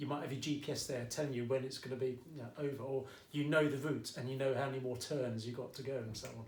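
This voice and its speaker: A man speaks very fast at a medium pitch, with a slight Essex accent, flat monotone intonation, hardly any pauses and audible room echo. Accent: Essex accent, slight, coming out. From England, Essex. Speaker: maths teacher. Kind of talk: tutorial. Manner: casual, chatty.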